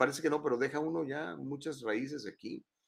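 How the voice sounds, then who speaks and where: A man talks at a fairly quick pace in a fairly high voice with vocal fry. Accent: Mexican. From Mexico, San Luis Potosí (Huasteca). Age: 50s. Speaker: news talk show host. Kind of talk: live talk show with news commentary. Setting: studio, live stream. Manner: animated.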